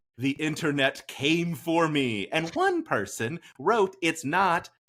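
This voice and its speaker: A fairly slow delivery with an American accent. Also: man. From US Midwest, southern Illinois near St. Louis. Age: 40s. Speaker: podcast host. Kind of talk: casual chat.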